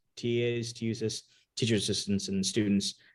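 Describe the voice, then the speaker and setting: Speech races along very quickly. An American accent colors it. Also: man. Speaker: tech startup CEO. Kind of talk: podcast interview. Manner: calm.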